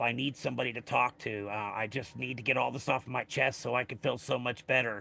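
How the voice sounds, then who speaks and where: Speaking at a fairly quick pace, a man uses a bright, sharp tone with vocal fry and fairly even intonation. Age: 50s. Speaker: live streamer. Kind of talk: casual livestream chat. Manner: halting.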